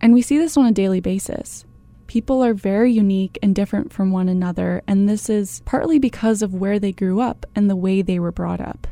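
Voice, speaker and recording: In a Canadian accent, a woman speaks at a fairly quick pace. Her tone is dark and mellow, with ordinary pitch variation. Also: medium pitch for a woman. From Canada. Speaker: podcast host, anthropology student. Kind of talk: scripted narration. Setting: studio.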